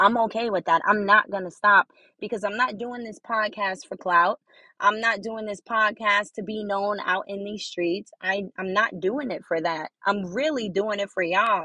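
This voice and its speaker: At a moderate pace, a woman with a bright, sharp tone speaks at a medium pitch with fairly even intonation, the sound dry and close with no echo over a quiet background. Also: big swings in loudness. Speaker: podcaster. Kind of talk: solo motivational talk. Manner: casual, conversational.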